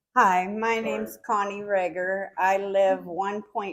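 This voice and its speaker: Against a silent background on a very clean recording, a woman speaks at a very slow pace. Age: 60s. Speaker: resident affected by chemical spill. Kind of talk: testimony.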